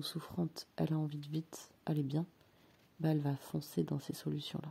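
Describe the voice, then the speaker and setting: Somewhat breathy and calm in tone, a woman speaks with a very deep, low pitch and a dark, mellow tone. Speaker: personal development coach. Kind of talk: reflective monologue. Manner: slow and calm; hesitant, many filler sounds.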